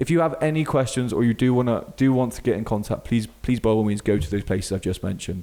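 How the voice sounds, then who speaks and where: A man with a Bristolian accent speaks at medium pitch with ordinary pitch variation. His tone is dark and mellow. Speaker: fitness coach and podcast host. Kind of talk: podcast monologue. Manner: casual, with fillers.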